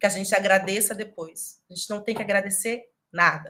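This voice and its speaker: A woman's bright, sharp tone at medium pitch. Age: young. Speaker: lecturer on ethnic-racial relations. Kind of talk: lecture.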